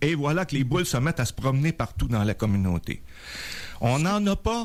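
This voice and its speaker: Very wide pitch swings from a man, captured in a very clean recording with a silent background. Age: 70s. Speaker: doctor. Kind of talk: radio interview.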